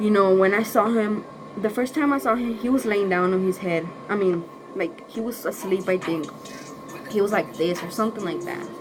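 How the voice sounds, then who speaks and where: A woman with a Spanish accent speaks against noticeable background noise. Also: medium pitch for a woman, lively intonation, moderate pace. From northern Mexico. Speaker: YouTuber. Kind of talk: story time vlog. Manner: casual, halting.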